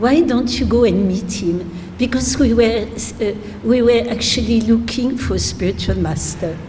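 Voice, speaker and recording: A woman with a French accent speaks in a fairly high voice with ordinary pitch variation, with noticeable background noise and audible room echo. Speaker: spiritual teacher. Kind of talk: religious talk. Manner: halting, many fillers.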